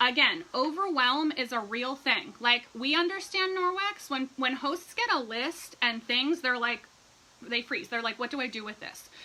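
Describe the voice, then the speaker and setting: An animated woman with a high pitch and lively intonation, noticeable background noise around her. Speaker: direct sales team leader. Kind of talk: livestream tutorial. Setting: live video stream. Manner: fast.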